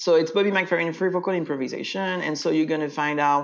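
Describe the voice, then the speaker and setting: A man with a French accent, fairly high-pitched, at a moderate pace with fairly even intonation. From France. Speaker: voice teacher and singer. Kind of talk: interview.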